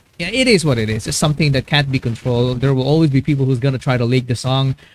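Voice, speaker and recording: A man with a Filipino accent, dry and close-miked, no echo. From Philippines. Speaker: YouTube music reactor. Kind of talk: live-stream reaction commentary. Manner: halting, many fillers and repetitions.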